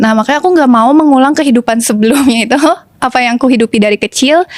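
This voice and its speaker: A woman with a high pitch speaks at a very fast pace with very even loudness, in a dry, close sound with no echo. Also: ordinary pitch variation. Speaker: TV presenter. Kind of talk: testimony. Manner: casual, hesitant with fillers.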